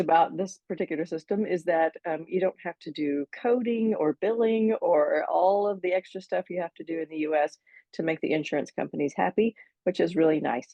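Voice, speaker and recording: A woman with an American accent has a normal speaking voice, medium pitch, ordinary pitch variation, and a moderate pace. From United States. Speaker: physician associate. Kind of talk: interview.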